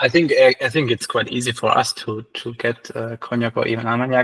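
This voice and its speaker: A man speaks at a moderate pace in a medium pitch, with a dry, close sound and no echo. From Germany. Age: 30s. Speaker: cognac reviewer. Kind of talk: casual chat.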